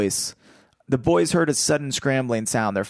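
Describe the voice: The voice delivers plain reading aloud, its intonation lively throughout.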